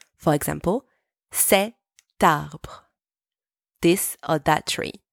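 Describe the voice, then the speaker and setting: A woman with a French accent speaks at a very slow pace, with long, frequent pauses. The recording is very clean with a silent background, and the sound is dry and close with no echo. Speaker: French teacher and podcast host. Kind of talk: language lesson. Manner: clear, slow didactic pace.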